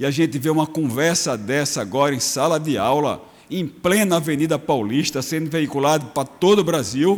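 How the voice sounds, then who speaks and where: A man speaks with an ordinary speaking voice at a fairly high pitch. His pace is moderate and his pitch variation ordinary. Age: 60s. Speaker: state legislator. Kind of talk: parliamentary speech. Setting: legislative chamber.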